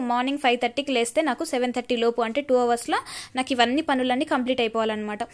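With fairly even intonation, a woman speaks at a high pitch. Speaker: YouTuber and exam aspirant. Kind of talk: casual vlog voice-over. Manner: loud.

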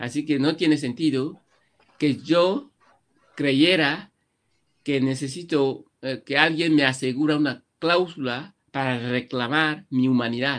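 Over a quiet background, a man talks at a very slow pace with fairly even intonation. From Equatorial Guinea, Malabo, Annobonese parents; Equatorial Guinea. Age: 50s. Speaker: writer; interviewee. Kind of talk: interview. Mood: earnest, reflective. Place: home room. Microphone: webcam.

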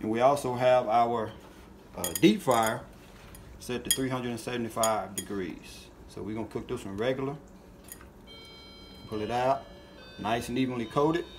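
Noticeable background noise runs under the speech. The pace is fairly slow. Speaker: fishing channel host cooking. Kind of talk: tutorial. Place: kitchen. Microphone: phone near.

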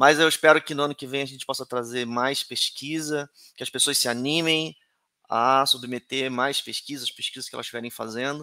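A man with a fairly high pitch and a bright, sharp tone talks very fast with fairly even intonation and big swings in loudness, heard as a dry sound with no echo over a quiet background. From Brazil. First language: Portuguese. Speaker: conference organizer and moderator; moderator. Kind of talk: conference moderation and Q&A. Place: home room. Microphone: headset.

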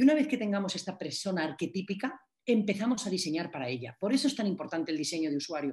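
Somewhat breathy, a woman speaks at a very fast pace with very wide pitch swings. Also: quiet background. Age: 40s. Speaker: cultural manager and innovation consultant; workshop instructor. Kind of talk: online masterclass lecture. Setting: video call. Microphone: video call.

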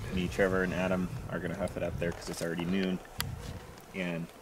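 A man at a fairly quick pace, in a dry sound with no echo and noticeable background noise. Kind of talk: casual vlog chat. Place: open country. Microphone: camera far.

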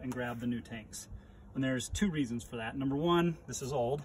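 A somewhat breathy male voice with ordinary pitch variation and light background noise. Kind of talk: tutorial. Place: open country. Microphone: phone near.

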